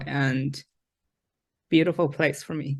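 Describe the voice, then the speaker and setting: A woman speaks with a Chinese accent. Her pitch is very deep and low. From China. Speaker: former art student. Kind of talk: testimony.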